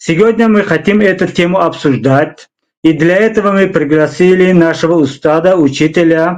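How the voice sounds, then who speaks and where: Speaking at a moderate pace, a man with a Tajikistan accent uses ordinary pitch variation. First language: Tajik (speaking Russian). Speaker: interview show host. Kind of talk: interview. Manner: halting, many fillers.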